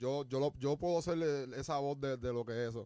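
A man's medium-pitched voice with ordinary pitch variation, dry and close with no echo. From Puerto Rico. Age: 20s. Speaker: podcast host. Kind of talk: casual chat. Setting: studio. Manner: animated.

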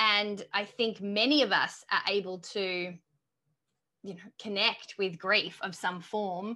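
Speaking very slowly with an Australian accent, a woman uses a medium pitch and fairly even intonation in a bright, sharp tone. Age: 30s. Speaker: author and coach. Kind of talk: interview.

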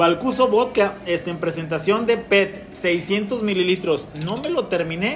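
With hardly any pauses, a high-pitched man talks at a fairly slow pace against noticeable background noise. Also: ordinary pitch variation. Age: 40s. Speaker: podcast host. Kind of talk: casual chat.

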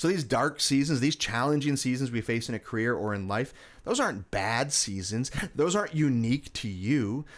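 Recorded very cleanly against a silent background, a man uses an ordinary speaking voice at medium pitch, moderate pace and ordinary pitch variation. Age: 30s. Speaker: cancer survivor and speaker. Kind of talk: interview.

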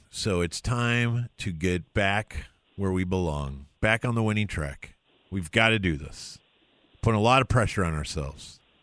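Over a quiet background, a man uses an ordinary speaking voice with a fairly low pitch, ordinary pitch variation and a moderate pace. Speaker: radio host. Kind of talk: casual sports-radio banter.

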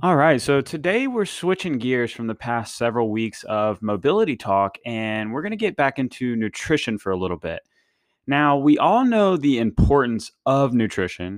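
In a dry, close sound with no echo, a man of medium pitch talks at a moderate pace with very wide pitch swings. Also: quiet background. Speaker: fitness podcast host. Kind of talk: solo podcast monologue. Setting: studio. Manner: casual, rambling.

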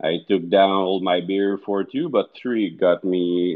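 A man with a Quebec accent speaks at a fairly low pitch. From Quebec, Montreal. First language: French. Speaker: darts league player. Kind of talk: casual chat.

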